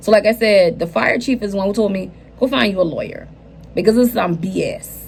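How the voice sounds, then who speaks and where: Speaking at a very fast pace, a woman with a medium pitch and an American accent sounds animated. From US South, Charleston, South Carolina. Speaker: lifestyle vlogger. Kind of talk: casual vlog life update.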